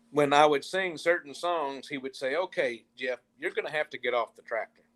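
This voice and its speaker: A man with an American accent speaks at a moderate pace with ordinary pitch variation, in a dry, close sound with no echo. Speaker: country musician. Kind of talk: interview.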